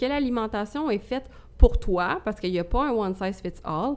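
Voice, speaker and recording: A woman's fairly high voice with lively intonation, on a very clean recording against a silent background. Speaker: podcast co-host, fitness coach. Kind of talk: casual chat.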